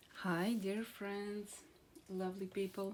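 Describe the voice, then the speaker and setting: A woman talks at a fairly slow pace. She has a Slavic accent. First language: Croatian. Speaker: card reader, channel owner. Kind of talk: casual tarot-style card reading to camera. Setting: outdoors in a garden. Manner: hesitant, many fillers.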